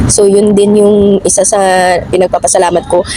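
Noticeable background noise fills the clip. The voice belongs to a woman. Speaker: domestic worker vlogger. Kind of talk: casual vlog. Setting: outdoors in a park.

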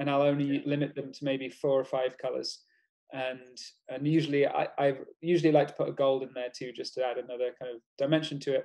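In a quiet background, a man with a dark, mellow tone and a fairly high pitch talks fairly quickly in a flat monotone. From outside Spain. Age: 40s. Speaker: illustrator and poster artist; guest. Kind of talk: casual chat. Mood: relaxed, friendly. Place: home room. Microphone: video call.

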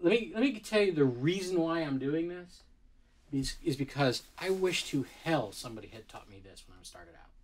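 A man speaks with lively intonation. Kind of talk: lecture. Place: studio. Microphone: camera far.

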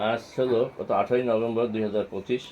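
His intonation monotone and flat, a man speaks at medium pitch. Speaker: homeopathic practitioner, retired banker. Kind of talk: patient testimonial video, informal presentation.

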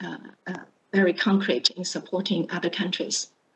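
A woman's voice against a quiet background. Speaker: panel moderator. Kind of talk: introducing panelists. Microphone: video call.

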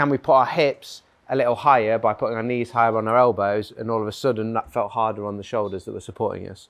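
Intonation stays fairly even as the man races along at a very fast pace. Little noise sits behind him. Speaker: fitness coach. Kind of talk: workshop instruction. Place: gym.

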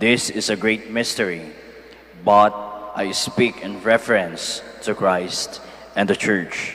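Fairly low-pitched, a man speaks at a fairly slow pace with fairly even intonation. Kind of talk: scripture reading. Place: church. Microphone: handheld.

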